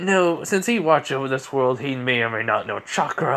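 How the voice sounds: Natural reading voice, heard in the clip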